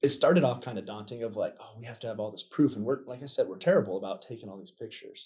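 A somewhat breathy man talks at a very fast pace with a medium pitch. His pitch variation is ordinary, and his loudness swings widely. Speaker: military service member. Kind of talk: casual interview.

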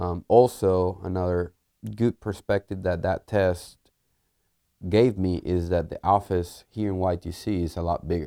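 In a Spanish accent, a man with a very deep, low pitch talks at a fairly slow pace with fairly even intonation and a dark, mellow tone, the sound dry and close with no echo and the recording very clean over a silent background. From Puerto Rico. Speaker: engineer and test team lead. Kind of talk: interview. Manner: hesitant, many fillers.

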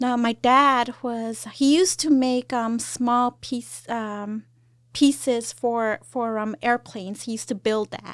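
Very slow speech with fairly even intonation in an American accent. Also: woman, high pitch for a woman. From California and Mexico. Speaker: army sergeant major. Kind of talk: interview. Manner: halting.

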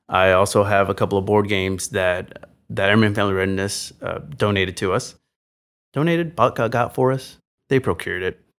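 An ordinary speaking voice from a man with an American accent, fairly low in pitch and fairly quick in pace. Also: ordinary pitch variation, very clean recording, silent background. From Texas, San Antonio. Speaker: military chapel staff sergeant. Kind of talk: casual interview chat.

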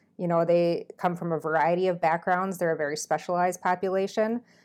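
Her intonation is monotone and flat. The woman talks at a fairly quick pace with a fairly low pitch. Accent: Upper Midwest. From Minnesota. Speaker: military flight nurse. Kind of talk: casual interview.

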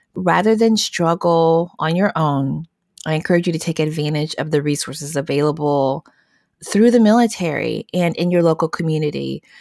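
Recorded very cleanly against a silent background, with dry, close sound and no echo, a woman with an American accent uses a normal speaking voice at a moderate pace, fairly low in pitch with ordinary pitch variation. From US South. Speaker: social worker, program analyst. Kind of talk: conversational interview.

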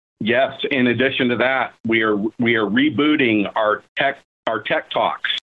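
Speaking fairly slowly at a medium pitch, a man uses a normal speaking voice with very even loudness. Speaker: program director. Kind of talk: interview answers, explanatory. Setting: video call.

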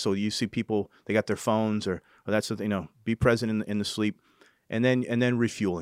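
An ordinary speaking voice from a man with an American accent, fairly low pitch and moderate pace, dry and close with no echo on a very clean recording with a silent background. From New Hampshire and California, US. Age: 40s. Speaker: senior military enlisted leader. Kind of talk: interview conversation.

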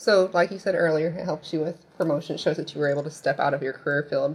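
In a Midwestern American accent, a woman speaks with a very deep, low pitch. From US Midwest, Indiana. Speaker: military recruiter. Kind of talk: interview.

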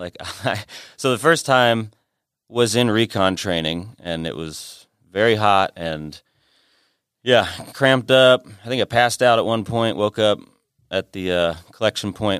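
In a dry, close sound with no echo on a very clean recording with a silent background, a man with an unremarkable speaking voice talks at a fairly low pitch with ordinary pitch variation. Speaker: editor and former military medic. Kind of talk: casual discussion.

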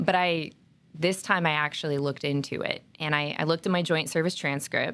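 The speaker has an American accent and a fairly quick pace. The intonation stays fairly even. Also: woman, very deep, low pitch for a woman. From Oregon. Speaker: military recruiter. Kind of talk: interview.

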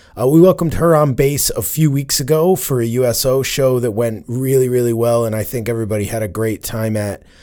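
A man's dark, mellow, medium-pitched voice moves at a moderate pace with ordinary pitch variation on a very clean recording with a silent background. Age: 40s. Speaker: podcast host, military veteran. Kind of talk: casual chat.

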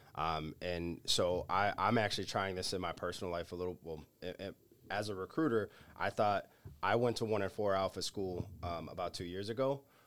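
Speaking at a fairly quick pace, a man with a southeastern Massachusetts accent has a very deep, low pitch and ordinary pitch variation. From Massachusetts South Coast, New Bedford area. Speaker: military recruiter. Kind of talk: roundtable discussion.

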